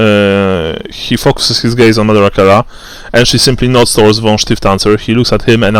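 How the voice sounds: It is a natural reading voice. The intonation stays fairly even.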